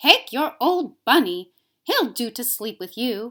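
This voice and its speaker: A put-on character voice growls at a fairly slow pace. Its pitch swings very widely and its loudness varies a lot. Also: woman, high pitch for a woman. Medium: read story. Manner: brisk, no-nonsense.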